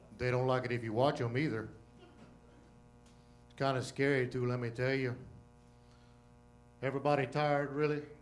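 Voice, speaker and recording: A man speaks at a fairly quick pace in a monotone, flat intonation, with long, frequent pauses. Music plays in the background and there is audible room echo. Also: medium pitch for a man. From Louisiana. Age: old. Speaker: comedian. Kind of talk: stand-up. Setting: stage with audience.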